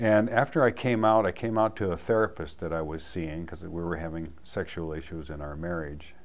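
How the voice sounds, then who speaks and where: With a very deep, low pitch, a man speaks at a fairly quick pace. Audible room echo surrounds his voice. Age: 70s. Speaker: community group member sharing life story. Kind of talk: personal testimony.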